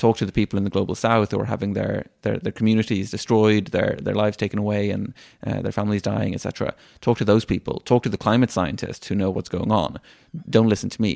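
A man at a very fast pace with a slight Irish accent, fairly low pitch and fairly even intonation, in a dry, close sound with no echo on a very clean recording with a silent background. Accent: Irish-tinged. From Sweden. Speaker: climate activist. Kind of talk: interview.

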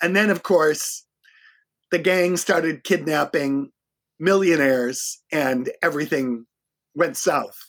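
A man with an American accent talks at a very slow pace, with long, frequent pauses. His fairly high pitch moves in an ordinary way, and his loudness stays very even. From Boston, US. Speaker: public relations agency owner. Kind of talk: casual interview. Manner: animated.

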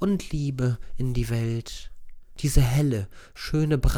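Plain reading aloud fills this recording.

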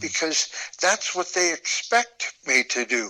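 There is noticeable background noise. A man speaks with an American accent. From US Midwest (northeast Nebraska). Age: 70s. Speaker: artist. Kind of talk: interview.

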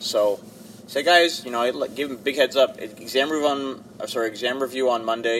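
A man speaks in a plain, everyday voice at a moderate pace. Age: 30s. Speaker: college instructor. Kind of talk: casual chat. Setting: in a car.

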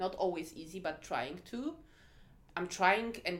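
With a Polish accent, a woman talks at a moderate pace. Her pitch sits fairly low. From Poland. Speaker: head of diversity and inclusion. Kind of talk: interview. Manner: hesitant, many fillers.

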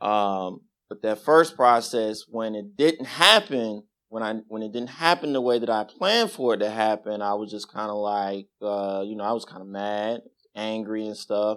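A man with an American accent, fairly low in pitch, at a moderate pace with big swings in loudness. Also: ordinary pitch variation. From Las Vegas, US Southwest. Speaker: congregation member giving testimony. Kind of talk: testimony. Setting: church.

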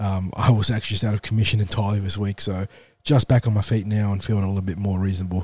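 Somewhat breathy, a man with an Australian accent talks at a very fast pace in a fairly low pitch. His intonation is monotone and flat. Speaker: sports podcast host. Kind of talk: casual chat.

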